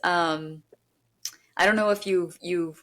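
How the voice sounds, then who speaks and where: A plain, everyday voice from a woman with an American accent, fairly low in pitch, at a fairly slow pace. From New York. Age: 40s. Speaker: podcast host. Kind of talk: interview conversation.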